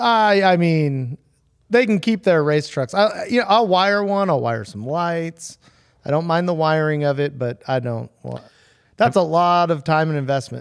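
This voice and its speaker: A man with a fairly high pitch and lively intonation keeps a moderate pace. It is a plain, everyday voice in a very clean recording with a silent background. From San Diego, California. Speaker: hot rod fabricator. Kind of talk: casual chat.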